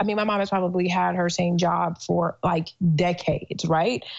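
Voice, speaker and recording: Here is an ordinary speaking voice with fairly even intonation. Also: woman. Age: 30s. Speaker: entrepreneur. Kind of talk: casual interview.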